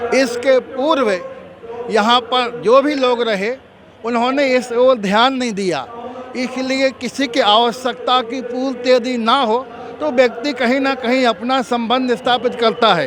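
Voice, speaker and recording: A man speaks with an extremely high pitch. Noticeable noise sits in the background. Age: 60s. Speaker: religious preacher. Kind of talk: interview.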